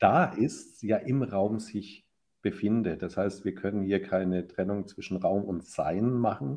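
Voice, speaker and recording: Fairly low in pitch, a man speaks in a dark, mellow tone with ordinary pitch variation. The background is quiet. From Franconia, Germany (Ansbach). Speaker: professor, psychologist and architect. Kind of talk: interview conversation.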